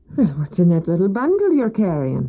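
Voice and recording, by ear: A woman doing a put-on character voice talks at a fairly quick pace, her fairly low pitch swinging very widely.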